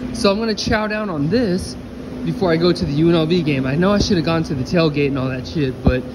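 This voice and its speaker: A voice talks at a fairly quick clip over loud background noise. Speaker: vlogger. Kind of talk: casual vlog chat. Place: cafe. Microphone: phone near.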